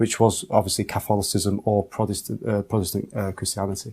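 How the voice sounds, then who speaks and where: A man with an English accent talks in a fairly low pitch, his tone dark and mellow and his intonation monotone and flat. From England. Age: 30s. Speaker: convert to Islam. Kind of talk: testimony. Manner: halting.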